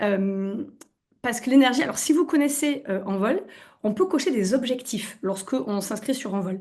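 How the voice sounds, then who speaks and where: With a slight southwestern French accent, a woman speaks in a dark, mellow, somewhat breathy tone and lively intonation. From southwestern France. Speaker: naturopath. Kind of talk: webinar presentation. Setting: online webinar. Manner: hesitant, many fillers.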